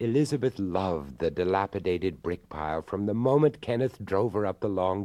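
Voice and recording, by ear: The speaker is reading aloud in a natural voice. The words are read out rather than spoken freely.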